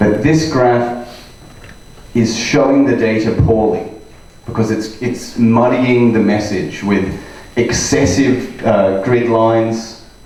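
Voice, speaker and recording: Over noticeable background noise, a man speaks very slowly with fairly even intonation and very even loudness. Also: medium pitch for a man. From Australia. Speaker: data scientist and trainer. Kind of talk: conference talk to live audience.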